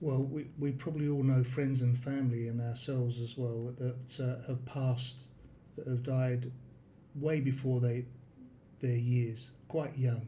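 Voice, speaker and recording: Audible room echo surrounds a man's medium-pitched, dark, mellow, somewhat breathy voice, which is monotone and flat at a fairly slow pace. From London, England. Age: 60s. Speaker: expat retiree. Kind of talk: interview. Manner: hesitant.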